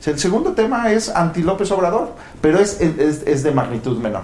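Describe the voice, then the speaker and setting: A man speaks at a moderate pace with fairly high pitch and very wide pitch swings. Audible room echo and noticeable background noise surround his voice. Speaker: political science professor. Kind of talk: panel discussion.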